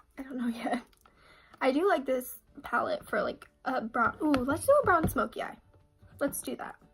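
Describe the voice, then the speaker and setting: Music plays in the background as a woman speaks in a high pitch with lively intonation. She leaves long, frequent pauses. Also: moderate pace. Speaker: beauty vlogger. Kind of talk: makeup tutorial chat. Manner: casual, filler-heavy.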